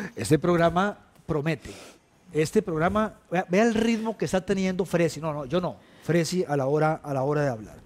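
Using lively intonation, a man talks at a moderate pace in a high voice. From Costa Rica. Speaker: TV talk show host. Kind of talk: interview. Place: studio. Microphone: headset.

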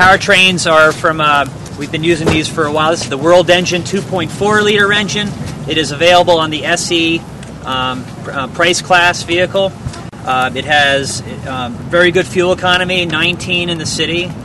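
Amid noticeable background noise, a man with a high pitch talks at a moderate pace with fairly even intonation, the sound dry with no echo. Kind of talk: product presentation. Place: street. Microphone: lapel.

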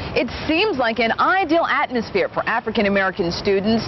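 Very wide pitch swings stand out against noticeable background noise. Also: woman. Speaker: news reporter. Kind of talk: radio news read.

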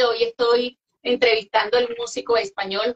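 The speaker is a woman with a high pitch. She goes at a fairly slow pace. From Venezuela. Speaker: interviewer and music show host. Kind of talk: interview chat. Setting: live online interview. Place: home room.

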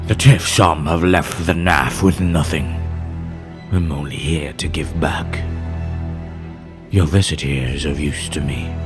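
Over clear background music, a man does a put-on character voice at a very deep, low pitch and a moderate pace. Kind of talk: villain monologue. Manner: menacing, commanding.

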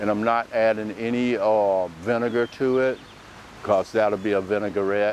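At a fairly slow pace, a man speaks in a fairly low voice with fairly even intonation, recorded dry with no echo and some light background noise. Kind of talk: tutorial. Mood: relaxed, friendly. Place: garden. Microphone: lapel.

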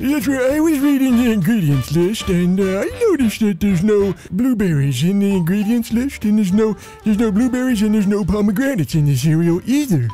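Over clear background music, a man puts on a character voice, pitched high for a man and moving at a fairly quick pace. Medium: audio drama.

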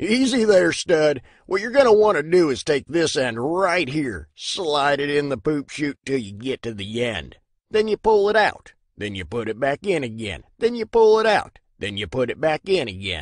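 Here a man talks at a moderate pace with a fairly high pitch. His pitch swings very widely. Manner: snarky, mocking.

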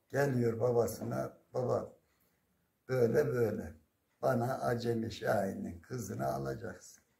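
Very slowly, a man speaks over a quiet background. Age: 70s. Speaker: retired primary school teacher. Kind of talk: folk storytelling. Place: home room. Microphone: phone near.

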